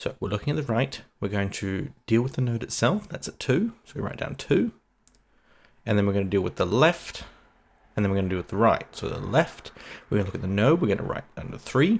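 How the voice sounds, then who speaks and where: Soft-spoken and fairly quick, a man at a medium pitch talks with lively intonation and big swings in loudness on a very clean recording with a silent background. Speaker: coding tutor. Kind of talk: tutorial. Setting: home, early morning.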